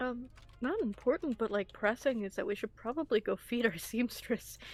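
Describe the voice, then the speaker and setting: Fairly high-pitched woman at a moderate pace, music in the background. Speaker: tabletop roleplaying game player. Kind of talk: in-character roleplay.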